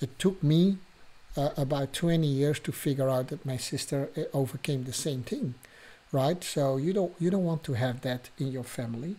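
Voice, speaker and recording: A man with a dark, mellow tone and a fairly high pitch speaks at a moderate pace, somewhat breathy, with ordinary pitch variation. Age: 60s. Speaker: podcast host and abuse survivor coach. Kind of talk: casual monologue podcast. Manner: halting, with fillers.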